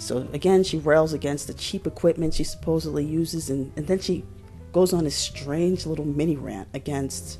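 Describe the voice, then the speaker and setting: Over background music, a woman speaks with a very deep, low pitch. Her intonation is lively and her pace moderate. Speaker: exotic pet keeper. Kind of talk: commentary to camera.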